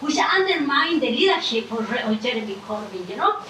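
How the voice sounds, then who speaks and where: A woman's raised, projected voice with a non-native accent, very wide pitch swings and a moderate pace, amid audible room echo and noticeable background noise. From Ecuador. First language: Spanish. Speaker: audience member asking questions. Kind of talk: audience question at panel. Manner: halting.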